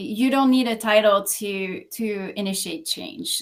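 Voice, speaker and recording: A woman speaks at a fairly slow pace in a Quebec French accent, with ordinary pitch variation. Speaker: localization executive. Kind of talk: podcast interview.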